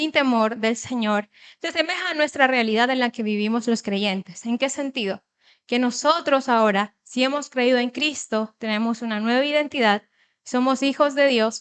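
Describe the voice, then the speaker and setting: At a moderate pace, a woman speaks high-pitched with ordinary pitch variation in a dry, close sound with no echo. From Ecuador, Manabí coast, later Guayaquil. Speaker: lay church speaker. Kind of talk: sermon.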